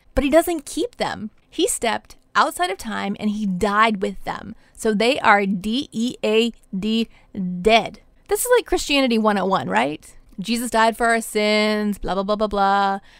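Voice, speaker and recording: A woman with a fairly high pitch speaks fairly slowly in a normal speaking voice with lively intonation, the sound dry and close with no echo. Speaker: life coach and spiritual director podcaster. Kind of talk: Bible teaching podcast.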